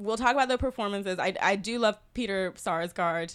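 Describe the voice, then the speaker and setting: Recorded very cleanly against a silent background, a woman with an unremarkable speaking voice talks at a medium pitch with ordinary pitch variation. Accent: American. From US South, South Carolina. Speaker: film critic. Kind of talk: casual film discussion. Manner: laughs often.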